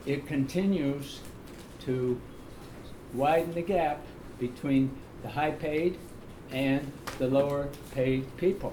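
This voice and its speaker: In a room with audible echo, a man with a fairly high pitch talks at a very slow pace, using fairly even intonation and long, frequent pauses. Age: 80s+. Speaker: public commenter at county meeting. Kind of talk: public comment at meeting.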